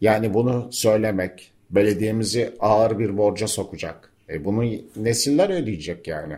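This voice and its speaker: A man talks at a moderate pace in a fairly low voice. His delivery is somewhat breathy. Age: 60s. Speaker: environmental journalist and local councillor. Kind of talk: radio interview. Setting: cooperative building near town square, open to outside sounds.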